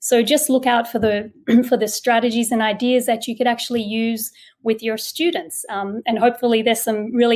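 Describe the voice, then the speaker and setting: With an Australian accent, a woman talks at a fairly quick pace in a fairly even intonation. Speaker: education consultant, former teacher. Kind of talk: webinar presentation.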